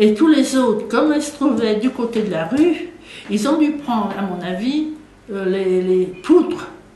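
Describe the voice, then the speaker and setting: Amid audible room echo and noticeable background noise, a woman's pitch swings very widely. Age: 80s+. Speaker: war survivor, eyewitness. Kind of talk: interview testimony. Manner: halting, with fillers and repetitions.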